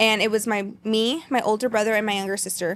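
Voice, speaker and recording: A fairly high female voice with a Spanish accent at a very fast pace, on a very clean recording with a silent background. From Texas. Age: 20s. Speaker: content creator, college student. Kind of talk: podcast interview.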